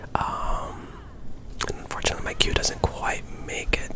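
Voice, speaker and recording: Someone whispers at a fairly slow pace. There is noticeable background noise. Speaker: ASMR gameplay commentator. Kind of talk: ASMR gameplay commentary. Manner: whispered.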